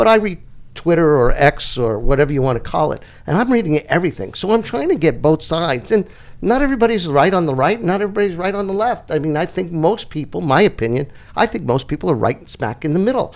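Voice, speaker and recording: Speaking with a New York accent at a very fast pace, a man's high voice makes very wide pitch swings. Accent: New York accent, noticeable. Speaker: political talk show co-host. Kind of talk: casual political chat.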